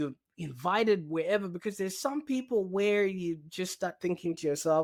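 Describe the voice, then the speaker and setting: A man's high-pitched voice with a non-native accent and lively intonation, on a very clean recording with a silent background. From Zimbabwe. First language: not English. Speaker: digital marketing strategist. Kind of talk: podcast interview.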